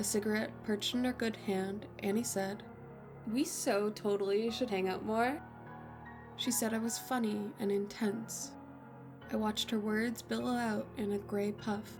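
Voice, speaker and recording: Music in the background behind a woman's fairly slow speech. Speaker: horror story narrator. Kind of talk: horror story narration, first-person.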